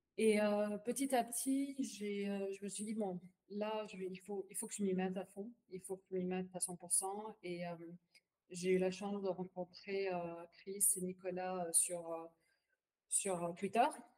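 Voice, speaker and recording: This woman has an Arabic accent and a medium pitch, speaking at a fairly slow pace with fairly even intonation. Her loudness swings widely. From Palestinian family. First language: Arabic (speaking French). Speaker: bitcoin wallet executive. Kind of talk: podcast interview. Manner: hesitant, many fillers and repetitions; code-switches to English phrases.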